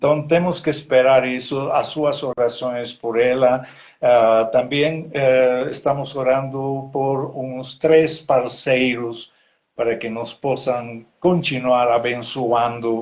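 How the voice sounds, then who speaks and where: Very slow delivery with fairly even intonation. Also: man, medium pitch for a man. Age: 70s. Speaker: missionary pastor. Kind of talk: live online interview, prayer requests. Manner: halting, many hesitations.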